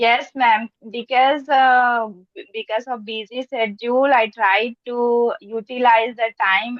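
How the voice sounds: The speech is fairly slow with fairly even intonation. The sound is dry and close, with no echo. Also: woman.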